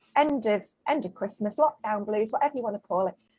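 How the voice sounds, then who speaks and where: Ordinary pitch variation in a Mancunian accent. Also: woman. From Manchester, northern England. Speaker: small business owner. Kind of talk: casual interview chat. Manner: animated.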